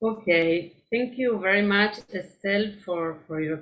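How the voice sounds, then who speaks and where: Speaking very slowly, a woman with a Spanish accent uses a medium pitch. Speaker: poet and writer. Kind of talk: book reading. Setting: online video event. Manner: hesitant, with filler eh.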